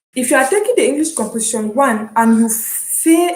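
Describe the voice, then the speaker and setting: In a Cameroonian accent, a woman speaks at a fairly slow pace with ordinary pitch variation and audible room echo. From Cameroon (anglophone). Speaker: online university student, vlogger. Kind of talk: casual vlog, explaining. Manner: hesitant, with fillers and repetitions.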